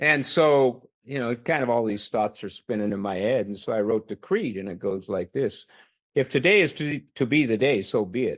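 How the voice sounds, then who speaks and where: A man's normal speaking voice at medium pitch, fairly quick and with lively intonation, over a quiet background. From Canada. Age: 60s. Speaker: retired army officer and police chief. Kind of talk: podcast interview.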